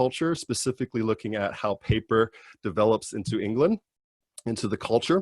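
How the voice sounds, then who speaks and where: A man with an American accent talks at a fairly quick pace in a plain, everyday voice at medium pitch. The sound is dry and close with no echo, in a very clean recording with a silent background. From California. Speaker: PhD student. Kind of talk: informational talk.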